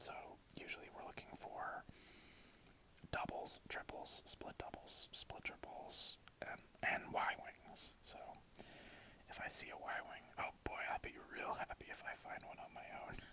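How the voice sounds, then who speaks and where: Whispered speech is broken by long, frequent pauses. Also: fairly slow pace. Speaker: ASMR creator. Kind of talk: ASMR gameplay commentary.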